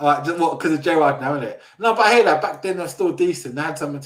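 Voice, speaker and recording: In a South London accent, the speaker uses ordinary pitch variation. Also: man. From South London, England. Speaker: football fan show host. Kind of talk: casual chat. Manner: animated.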